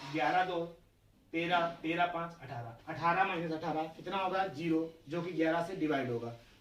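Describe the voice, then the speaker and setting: A man talks at a moderate pace in a high voice with ordinary pitch variation. Noticeable background noise and audible room echo come through. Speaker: math teacher. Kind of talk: lecture.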